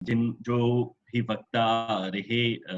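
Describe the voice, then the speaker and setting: A man is talking. He has a medium-pitched voice. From Mauritius. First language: French (speaking Hindi). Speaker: professor chairing a webinar. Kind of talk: webinar chair's summary remarks. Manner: hesitant, frequent filler sounds.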